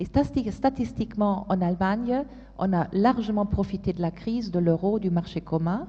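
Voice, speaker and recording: Speaking at a fairly slow pace in a German accent, a woman uses a medium pitch, ordinary pitch variation, and a somewhat breathy, dark, mellow tone. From Germany. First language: German (speaking French). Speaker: policy expert panelist. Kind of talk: panel discussion. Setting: conference stage with audience. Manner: halting, many hesitations.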